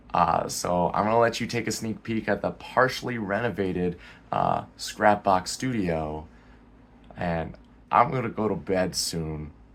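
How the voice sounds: A man puts on a character voice pitched fairly low, hoarse and raspy. He speaks at a moderate pace.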